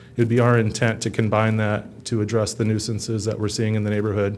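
At a fairly quick pace, a man speaks at medium pitch in a monotone, flat intonation. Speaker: housing inspector presenting code changes. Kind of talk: formal briefing to council.

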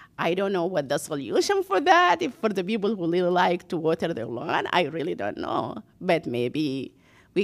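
With vocal fry and very wide pitch swings, the speaker talks at a moderate pace. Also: woman. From Sudan. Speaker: city council candidate, former mayor. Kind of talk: candidate forum.

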